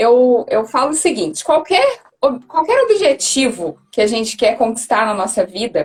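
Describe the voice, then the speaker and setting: With a Minas Gerais accent, a woman speaks at a moderate pace and a fairly high pitch. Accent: Minas Gerais Brazilian Portuguese. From Brazil, Minas Gerais (Belo Horizonte). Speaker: career coach. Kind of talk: live stream interview.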